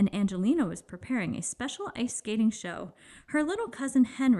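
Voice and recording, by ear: The intonation is lively throughout this reading aloud in a natural voice.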